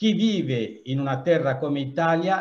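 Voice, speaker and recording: Ordinary pitch variation with a somewhat breathy quality. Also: man. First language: not Italian (speaking Italian). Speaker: association president. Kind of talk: welcome speech. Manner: halting. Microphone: video call.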